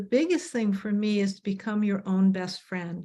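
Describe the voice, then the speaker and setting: A woman with an ordinary speaking voice, fairly high pitch and moderate pace. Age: 60s. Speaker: panel guest in discussion. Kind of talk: panel discussion.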